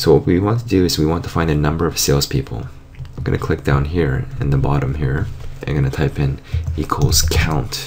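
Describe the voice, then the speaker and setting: Over noticeable background noise, a man with a very deep, low voice speaks at a fairly quick pace. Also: ordinary pitch variation. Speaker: software tutorial teacher. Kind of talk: screen tutorial.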